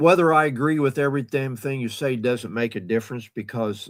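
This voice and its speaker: Moderately paced male speech, its pitch varying in an ordinary way. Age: 60s. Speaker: caller on live stream. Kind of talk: casual chat. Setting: online call via streaming studio.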